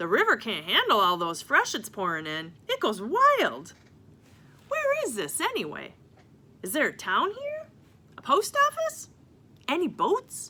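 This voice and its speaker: A woman's put-on character voice with long, frequent pauses. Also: moderate pace. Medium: read story. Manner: rambling, exclaiming.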